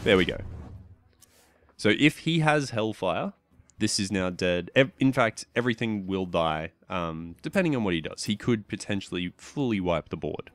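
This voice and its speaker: With an Australian accent, the speaker uses lively intonation at a moderate pace, in a very clean recording with a silent background and a dry, close sound with no echo. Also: man, fairly low pitch for a man. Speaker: gaming YouTuber. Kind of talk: casual gameplay commentary.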